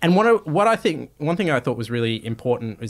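A man with an Australian accent swings his pitch very widely, recorded very cleanly against a silent background. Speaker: podcast and TV presenter, journalist. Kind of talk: interview conversation.

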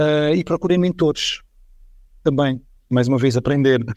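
A man with a European Portuguese accent speaks at a fairly high pitch, in a very clean recording with a silent background and a dry, close sound with no echo. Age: 40s. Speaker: IT executive. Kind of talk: podcast interview.

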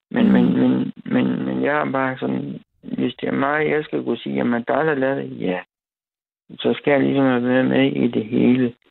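At a moderate pace, a man talks in a very deep, low pitch with very wide pitch swings. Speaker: caller, trained silversmith. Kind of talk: casual chat. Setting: phone call. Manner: halting.

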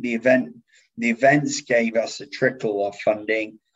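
Speaking at a moderate pace, a man talks in an English accent. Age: 30s. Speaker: events company CEO. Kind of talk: casual interview.

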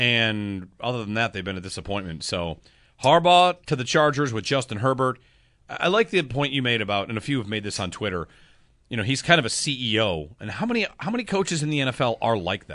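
A man with an American accent talks at a very fast pace against a quiet background. His medium-pitched voice has a bright, sharp tone and very wide pitch swings. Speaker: sports radio host. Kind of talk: sports talk radio discussion. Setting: studio.

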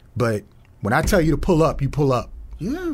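A man with an American accent has a somewhat breathy voice. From Peoria, Illinois (South Peoria). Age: 40s. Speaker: school safety director, former police officer. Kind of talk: casual interview chat. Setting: studio.

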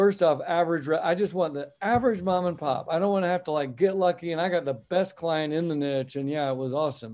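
In an American accent, a man with an ordinary speaking voice talks at a moderate pace, with a fairly high pitch and ordinary pitch variation. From US (Texas/Oklahoma area). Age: 50s. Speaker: accountant and CFO business founder. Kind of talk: interview.

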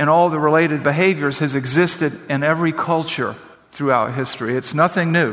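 A man speaks at a fairly quick pace with a fairly high pitch. Noticeable background noise is present. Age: 50s. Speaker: pastor. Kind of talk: sermon. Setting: church.

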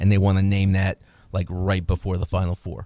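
Recorded very cleanly against a silent background, a man talks at a fairly quick pace with a dark, mellow tone and a fairly low pitch. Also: dry, close sound with no echo. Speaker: sports radio co-host, former basketball coach. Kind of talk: casual sports talk. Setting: radio studio.

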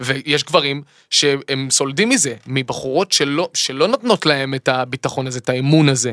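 Speaking fairly slowly with hardly any pauses, a man uses a fairly high pitch and ordinary pitch variation. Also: dry, close sound with no echo. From Israel, Eilat. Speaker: singer and songwriter. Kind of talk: casual chat. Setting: studio. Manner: halting with repetitions.

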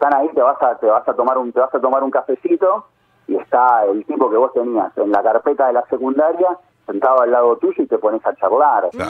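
A man at a fairly quick pace, with very even loudness. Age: 40s. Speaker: journalist. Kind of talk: interview. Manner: halting, many repetitions.

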